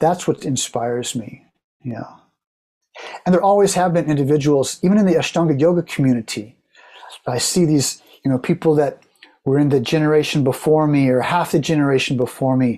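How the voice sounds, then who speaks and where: With an American accent, a man talks at a fairly quick pace in a dark, mellow tone, his fairly high pitch showing ordinary variation. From Oklahoma, US. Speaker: yoga teacher. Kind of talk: interview conversation.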